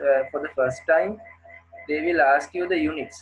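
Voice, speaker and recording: Music plays in the background. Over it, a man speaks at a moderate pace with a fairly high pitch. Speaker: engineering lecturer. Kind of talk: lecture. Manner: halting.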